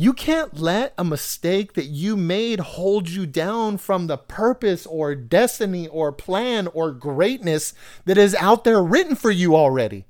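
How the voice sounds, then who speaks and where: A man with an American accent speaks at a high pitch with lively intonation. His pace is fairly slow with hardly any pauses, on a very clean recording with a silent background. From US West Coast, San Diego area (National City). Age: 40s. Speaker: podcast host. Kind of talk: personal storytelling monologue.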